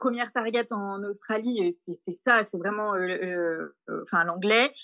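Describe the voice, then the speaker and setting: With ordinary pitch variation and a fairly slow pace, the voice comes through over a quiet background. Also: woman, medium pitch for a woman. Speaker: backpacker on working holiday, olive farm worker. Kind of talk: podcast interview testimony.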